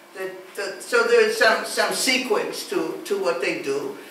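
The speech moves at a fairly slow pace. Light background noise and audible room echo are present. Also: woman. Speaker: lecturer. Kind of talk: lecture. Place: classroom. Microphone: camera far.

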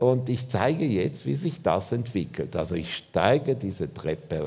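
A man's dark, mellow voice with vocal fry, very wide pitch swings and a fairly slow pace. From Switzerland. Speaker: architect; lecturer. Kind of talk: lecture. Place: hall.

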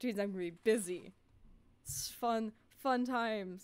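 In an ordinary speaking voice, a woman talks at a moderate pace with a fairly high pitch and ordinary pitch variation. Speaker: gaming streamer. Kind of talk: casual livestream chat while gaming. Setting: home microphone at sister's apartment.

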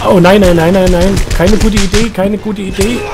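A man's voice with noticeable background noise. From Saxony. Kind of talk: let's play gaming commentary. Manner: casual, chatty.

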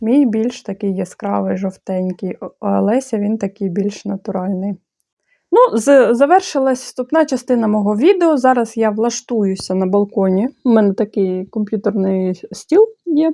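A woman's fairly high yet dark, mellow voice with ordinary pitch variation, over a quiet background. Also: dry, close sound with no echo. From Moldova. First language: Bulgarian (speaking Ukrainian). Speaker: handicraft blogger. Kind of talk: opinion monologue; tutorial.

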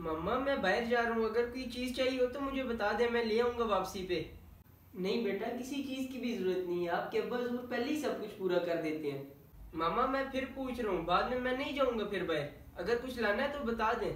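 Audible room echo surrounds a man whose extremely high pitch shows ordinary variation. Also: moderate pace. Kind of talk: acted comedic dialogue. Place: home room. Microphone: camera far.

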